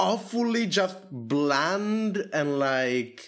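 A man talks with a non-native accent in a high pitch. His pitch swings are very wide. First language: not English. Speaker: podcast host. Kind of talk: casual chat.

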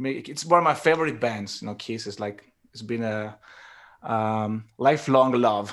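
Speaking with an Italian accent, a man of medium pitch keeps a moderate pace, with ordinary pitch variation and big swings in loudness. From Turin, Italy. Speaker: bass player and singer in a rock band. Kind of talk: casual interview chat.

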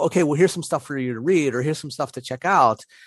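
With a slight Pittsburgh accent, a man speaks with ordinary pitch variation in a dry, close sound with no echo over a quiet background. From Pittsburgh, US. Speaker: podcast co-host on learning theory. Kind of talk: casual podcast chat about education. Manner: halting, self-correcting, conversational.

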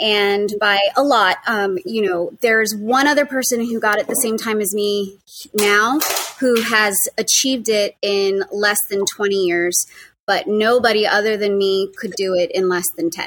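A woman speaks with a fairly bright tone. Her intonation stays fairly even at a fairly slow pace. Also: medium pitch for a woman.

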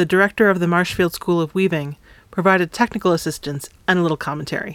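A woman speaks at a fairly low pitch and a fairly quick pace. The sound is dry and close, with no echo. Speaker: podcast host. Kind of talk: interview.

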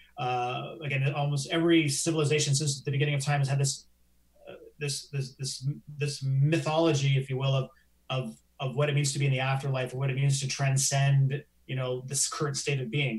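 A man with a Canadian accent speaks fairly quickly in a fairly high, somewhat breathy voice with monotone, flat intonation. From Canada. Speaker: science journalist. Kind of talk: live interview chat. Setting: live stream.

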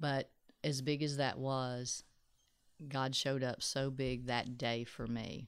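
In a Texan accent, a woman with a very deep, low voice speaks at a very slow pace with long, frequent pauses. Her intonation is monotone and flat, her loudness very even. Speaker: ministry speaker. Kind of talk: casual interview.

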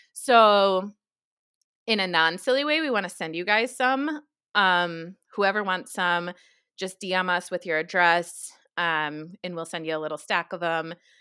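On a very clean recording with a silent background, a woman with a medium pitch and a bright, sharp tone speaks at a fairly slow pace with lively intonation. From New York. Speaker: podcast co-host. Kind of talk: casual chat. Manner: chatty, laughs often.

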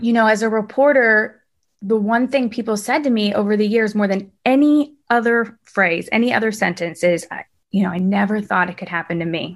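Speaking at a fairly quick pace against a quiet background, a woman with a plain, everyday voice keeps a fairly high pitch and ordinary pitch variation. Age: 30s. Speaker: TV news reporter and cancer patient. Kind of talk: interview conversation.

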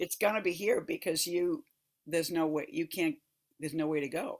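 A woman speaks at a moderate pace with a low pitch. Her pitch variation is ordinary.

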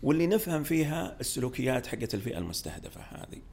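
The voice has vocal fry, a moderate pace and very wide pitch swings. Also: man. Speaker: startup studio executive. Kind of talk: podcast interview.

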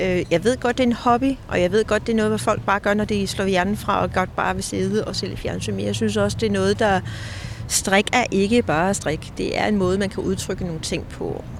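A woman speaks at a moderate pace. Noticeable background noise can be heard throughout. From Denmark, near Kalundborg. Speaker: knitwear designer and author. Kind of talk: casual interview. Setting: outdoors in a park.

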